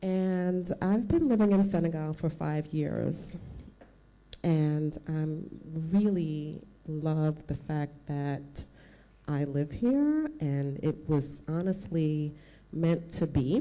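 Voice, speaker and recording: A woman with an American accent and a very deep, low pitch speaks at a very slow pace, with ordinary pitch variation and long, frequent pauses. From United States. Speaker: club founder. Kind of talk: public speech.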